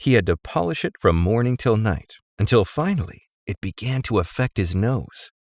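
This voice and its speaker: Over a silent background in a very clean recording with a dry, close sound and no echo, a man does a sing-song character voice at a medium pitch and a moderate pace, with hardly any pauses. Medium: read story. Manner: breathless, sing-song, playful.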